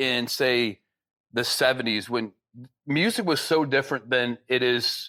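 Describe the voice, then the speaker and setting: In an American accent, a man with an unremarkable speaking voice talks at a medium pitch with ordinary pitch variation, on a very clean recording with a silent background. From Michigan. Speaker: podcast host. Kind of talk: casual interview.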